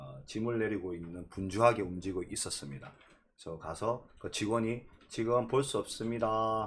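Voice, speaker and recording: At a moderate pace, a man speaks in a fairly low, somewhat breathy voice with ordinary pitch variation and big swings in loudness. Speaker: real estate YouTuber. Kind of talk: live-streamed lecture.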